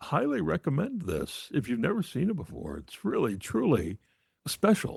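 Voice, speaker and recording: A man talks at a medium pitch with vocal fry and very wide pitch swings. The background is quiet. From New England, New Hampshire coast. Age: 60s. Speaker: film podcast host, guest. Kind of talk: casual chat.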